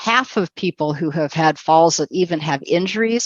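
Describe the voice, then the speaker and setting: Her voice is fairly low-pitched, with ordinary pitch variation. The background is quiet, and the sound is dry and close with no echo. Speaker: webinar presenter on aging and fall prevention. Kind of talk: online seminar presentation. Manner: fast.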